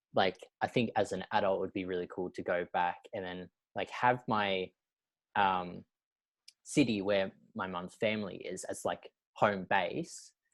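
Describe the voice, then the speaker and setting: In an Australian accent, the speaker talks at a fairly slow pace with fairly even intonation and long, frequent pauses, in a very clean recording with a silent background and a dry, close sound with no echo. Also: man, fairly low pitch for a man. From Australia, mid-north coast New South Wales. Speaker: podcast host. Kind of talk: casual chat.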